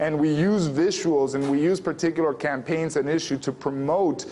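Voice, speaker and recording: Noticeable background noise sits behind this recording. The man speaking has a fairly high pitch. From Mexico, Sonora. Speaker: activist and media producer. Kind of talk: interview. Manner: hesitant, many fillers.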